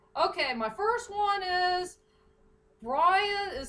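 A woman speaks in a raised, projected voice with a bright, sharp tone and very wide pitch swings. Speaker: fan fiction reader. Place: home room. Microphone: webcam.

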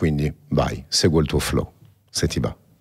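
Quiet surroundings behind a male speaker. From born in Paris. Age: 40s. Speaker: podcast host, entrepreneur. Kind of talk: interview. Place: studio. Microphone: studio mic.

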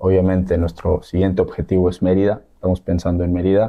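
Against a quiet background, a man speaks in a very deep, low voice. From Sinaloa, Mexico. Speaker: professional footballer; guest. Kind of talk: interview. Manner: halting. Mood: calm, hopeful. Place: studio. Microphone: studio mic.

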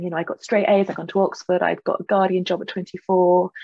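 A woman speaks with a southern English accent. Her pace is fairly quick, and the background is quiet. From England. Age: 40s. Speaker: novelist; guest. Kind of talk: interview. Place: home room. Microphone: video call.

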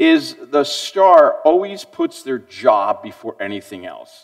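A man talks with a quiet background behind him. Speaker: pastor. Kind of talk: sermon. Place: church.

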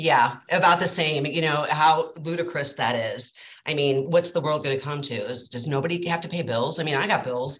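A woman speaks at a moderate pace with hardly any pauses. Her pitch is very deep and low, with ordinary pitch variation. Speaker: bank employee. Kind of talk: casual online networking meeting. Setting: video call. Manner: hesitant, frequent fillers. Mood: mildly indignant opinion. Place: office. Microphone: video call.

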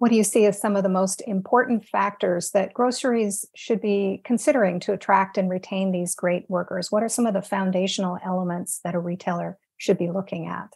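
Against a quiet background, a woman speaks at a fairly quick pace in a somewhat breathy voice with fairly even intonation. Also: hardly any pauses. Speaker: webinar host. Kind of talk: webinar moderating. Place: home room. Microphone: earbuds.

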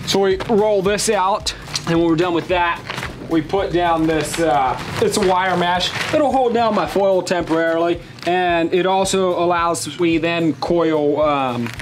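At a fairly slow pace with ordinary pitch variation, the speech plays over music in the background. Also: man, high pitch for a man. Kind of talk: tutorial. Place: street.

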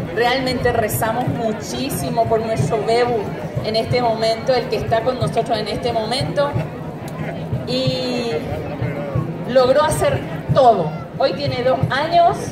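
Music plays behind a woman who speaks at a fairly slow pace, leaving long, frequent pauses. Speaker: speaker. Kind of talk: public speech. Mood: emotional, grateful testimony. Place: open country.

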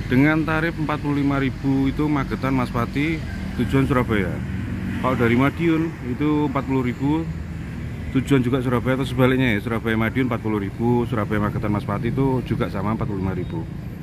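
Recorded dry with no echo over noticeable background noise, a man talks at a moderate pace with ordinary pitch variation. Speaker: bus enthusiast vlogger. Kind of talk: casual vlog commentary. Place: street. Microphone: phone near.

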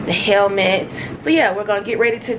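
Noticeable background noise is audible. The speaking pace is moderate. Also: woman. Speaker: travel vlogger. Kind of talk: casual vlog chat. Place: home room. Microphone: phone near.

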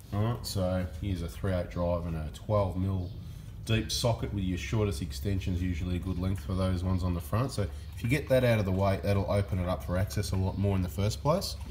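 A man speaks at a fairly quick pace in a very deep, low voice with vocal fry. His pitch varies in an ordinary way, over light background noise. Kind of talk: tutorial. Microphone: phone near.

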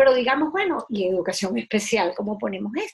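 Speaking fast at a fairly high pitch, a woman uses big pitch swings, her voice showing vocal fry and a husky, rough edge.

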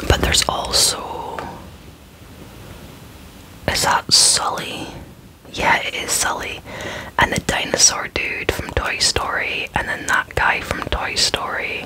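Soft-spoken and whispering at a very slow pace, the speaker leaves long, frequent pauses over light background noise. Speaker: toy unboxing host. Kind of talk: casual unboxing commentary. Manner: soft ASMR whisper. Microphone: phone near.

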